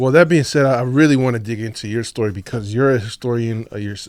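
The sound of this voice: A man talks fast at medium pitch with fairly even intonation. The recording is very clean, with a silent background.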